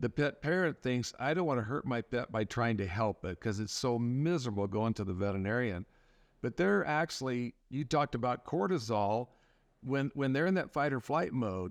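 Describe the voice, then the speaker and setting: Speaking in an ordinary speaking voice with an American accent, the talker keeps a moderate pace, lively intonation and very even loudness, with a dry, close sound with no echo and a quiet background. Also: man, medium pitch for a man. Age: 60s. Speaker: veterinarian. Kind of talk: podcast interview.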